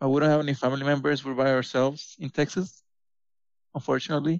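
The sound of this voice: A man talks at a fast pace with little pitch movement. The sound is dry and close, with no echo. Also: medium pitch for a man.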